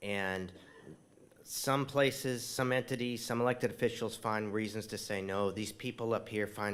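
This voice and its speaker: Over a very clean recording with a silent background, a man in a plain, everyday voice speaks at medium pitch and a moderate pace with fairly even intonation. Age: 60s. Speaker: tree nonprofit leader. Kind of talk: dedication speech.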